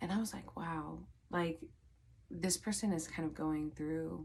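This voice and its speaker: A woman speaks at a moderate pace. The recording is very clean and the background silent. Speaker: psychic medium and tarot reader. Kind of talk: casual vlog storytelling. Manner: filler-heavy, many likes and ums.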